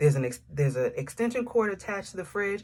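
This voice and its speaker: Somewhat breathy and very fast, a woman speaks with an American accent and lively intonation. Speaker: faith coach and author. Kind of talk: personal dream testimony to camera. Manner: casual, conversational.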